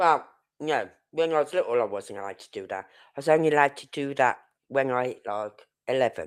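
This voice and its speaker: Recorded very cleanly with a silent background, a woman speaks at a very deep, low pitch with lively intonation and big swings in loudness. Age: 60s. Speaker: true crime streamer. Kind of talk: live stream commentary. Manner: halting.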